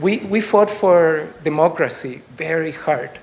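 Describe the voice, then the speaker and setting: Over noticeable background noise and audible room echo, a man with a fairly high voice speaks at a very slow pace. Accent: slight Chilean. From Chile. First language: Spanish. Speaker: political candidate. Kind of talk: campaign speech. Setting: stage with audience. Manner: hesitant, many fillers.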